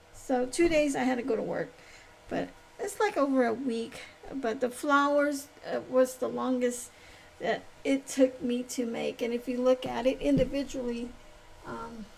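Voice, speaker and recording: A woman speaks at a moderate pace in a high voice, with long, frequent pauses and noticeable background noise. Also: ordinary pitch variation. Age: 60s. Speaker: crochet vlogger and craft vendor. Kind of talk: casual crafting vlog, show and tell. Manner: halting, many fillers and restarts.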